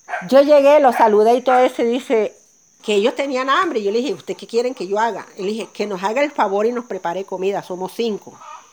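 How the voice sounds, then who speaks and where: A woman's fairly high voice at a very fast pace, over noticeable background noise. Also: lively intonation. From Colombia, Sierra Nevada de Santa Marta. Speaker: coffee farmer. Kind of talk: testimony. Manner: laughs easily and loudly.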